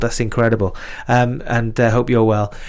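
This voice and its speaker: At a fairly quick pace, a man with a Welsh Valleys accent talks at a medium pitch. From Wales. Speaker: live stream music show host. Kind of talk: casual live stream chat. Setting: live stream.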